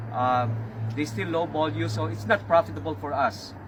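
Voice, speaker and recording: A man talks with lively intonation while noticeable background noise goes on. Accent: Filipino. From Philippines. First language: Filipino language (not English). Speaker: auto repair shop owner. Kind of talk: casual talk to camera. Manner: halting, many fillers.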